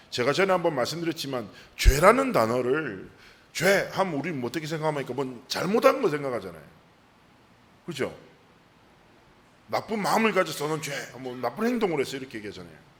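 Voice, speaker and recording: A man at a fairly quick pace, with very wide pitch swings, big shifts in loudness, long and frequent pauses, and audible room echo. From South Korea, Busan. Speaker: pastor. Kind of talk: sermon.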